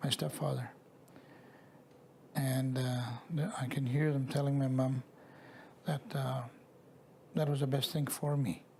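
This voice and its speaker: Fairly slow speech from a man, with background noise clearly present. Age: 60s. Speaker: residential school survivor. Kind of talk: testimony. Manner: halting.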